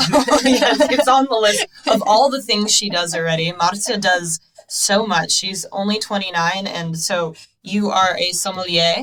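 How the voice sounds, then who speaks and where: At a fairly slow pace, a woman with an American accent talks in a medium-pitched voice. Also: lively intonation. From New Jersey, US. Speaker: wine podcast host. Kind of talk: casual interview chat; scripted presentation. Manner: animated.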